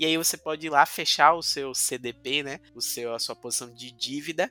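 A man's fairly high-pitched, ordinary speaking voice in a dry, close sound with no echo. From Bahia, Brazil (Cachoeira, Recôncavo Baiano). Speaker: blockchain validator pool co-owner and developer. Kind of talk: casual interview. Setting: studio.

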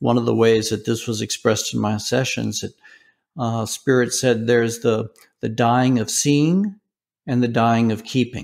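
At a moderate pace, a normal speaking voice with an American accent comes through on a very clean recording with a silent background. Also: man, medium pitch for a man. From US South. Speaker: philosopher of religion, professor. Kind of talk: interview.

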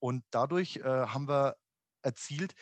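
A man's medium-pitched voice, dry and close with no echo, over a quiet background. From Upper Franconia, Germany. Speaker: amusement industry executive. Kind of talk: podcast interview. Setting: home office. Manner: halting, many fillers.

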